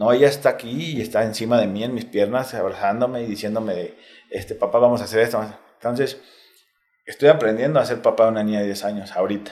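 A man talks very fast in a Mexico City accent. His pitch is medium and his intonation fairly even. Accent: Mexico City Spanish (chilango). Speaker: retired footballer. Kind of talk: casual interview. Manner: casual slangy.

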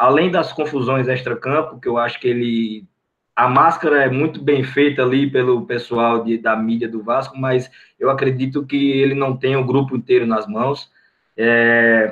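A man has an unremarkable speaking voice at a medium pitch. He talks at a fairly slow pace with fairly even intonation. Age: 20s. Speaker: football fan, channel supporter. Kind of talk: casual chat.

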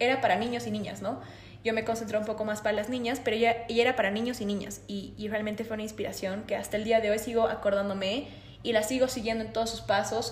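Amid audible room echo, a woman speaks very fast in a fairly high, flat monotone. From Bolivia, La Paz. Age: 20s. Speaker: systems engineer, time management expert. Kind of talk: interview.

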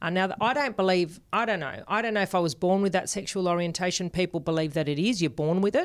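Speaking very fast with hardly any pauses, a woman uses a medium pitch and ordinary pitch variation in an Australian accent. The recording is very clean with a silent background. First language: Spanish. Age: 40s. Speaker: podcast co-host. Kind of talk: casual interview.

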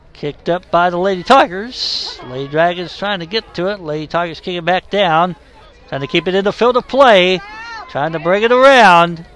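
Moderate pace and ordinary pitch variation against noticeable background noise. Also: man, high pitch for a man. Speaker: sports commentator. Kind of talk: live play-by-play sports commentary. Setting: broadcast from a sports venue. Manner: matter-of-fact, low-key, calling the action.

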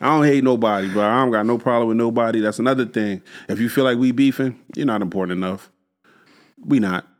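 In a very clean recording with a silent background, a man talks at a very fast pace with ordinary pitch variation. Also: medium pitch for a man. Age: 50s. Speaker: podcast co-host. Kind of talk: casual chat.

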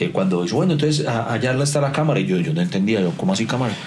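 Pitch swings very widely as the words come at a very fast pace. Room echo is audible, and background noise is noticeable. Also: man. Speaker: podcast co-host. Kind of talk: casual chat. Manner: animated.

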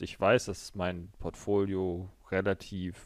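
Very slowly, a man talks in a very clean recording with a silent background. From Berlin, Germany. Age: 20s. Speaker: finance podcaster. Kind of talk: solo finance monologue.

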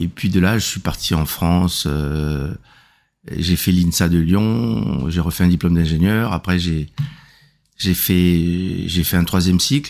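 At a very slow pace, a man talks in a very deep, low pitch. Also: ordinary pitch variation. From Republic of the Congo. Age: 60s. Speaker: regional politician. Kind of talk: interview. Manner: halting, with repetitions and fillers.

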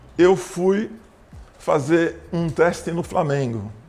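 A man speaks with lively intonation. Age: 70s. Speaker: basketball coach. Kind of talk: interview.

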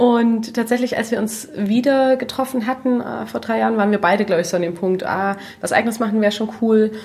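Talking at a fairly quick pace and a fairly high pitch, a woman keeps her intonation fairly even amid noticeable background noise. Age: 30s. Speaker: natural cosmetics entrepreneur. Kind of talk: casual chat.

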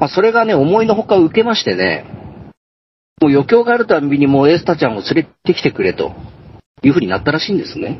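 Very fast and high-pitched, this man's voice swings very widely in pitch. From Tohoku, Japan. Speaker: ghost story teller and truck driver. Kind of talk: storytelling. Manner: laughs often.

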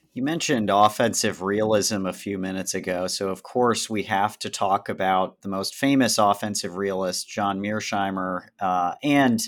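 A man talks at a moderate pace in a normal speaking voice, fairly low in pitch. The recording is very clean, with a silent background. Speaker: podcast co-host interviewer. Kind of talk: interview.

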